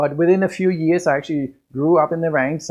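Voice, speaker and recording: A man with a Danish accent speaks with ordinary pitch variation. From Denmark. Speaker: business coach. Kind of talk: podcast monologue.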